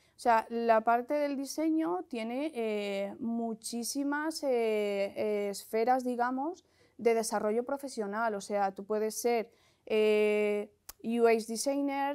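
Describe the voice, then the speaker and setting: With a dark, mellow tone, a woman speaks very slowly at a fairly high pitch and with fairly even intonation. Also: quiet background. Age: 40s. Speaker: bootcamp student, former HR worker. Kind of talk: testimony. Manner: hesitant, many fillers. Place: studio. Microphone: lapel.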